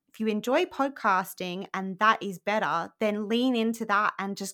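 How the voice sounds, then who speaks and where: A woman's bright, sharp tone at a medium pitch, fairly slow, with ordinary pitch variation. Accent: Australian. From Australia. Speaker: podcaster and blog coach, former journalist. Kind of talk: casual interview chat. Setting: remote call. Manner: animated.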